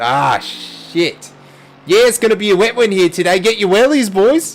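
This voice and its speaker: Against noticeable background noise, a man with an Australian accent speaks at a moderate pace in a high pitch with lively intonation. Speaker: sim racing commentator. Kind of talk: live commentary. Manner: animated.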